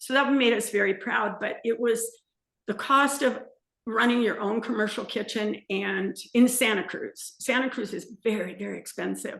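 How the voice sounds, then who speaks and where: A woman with an American accent speaks at a fairly high pitch with vocal fry. Her pace is moderate and her intonation fairly even. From Southern California. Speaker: small business owner, salsa maker. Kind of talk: interview, casual chat.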